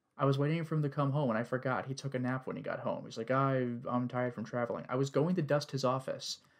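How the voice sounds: Fairly even intonation in a natural reading voice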